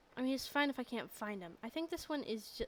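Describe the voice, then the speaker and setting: A woman's high-pitched voice carries lively intonation. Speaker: animator streaming while drawing. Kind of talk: casual livestream commentary while working. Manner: slow, thinking aloud.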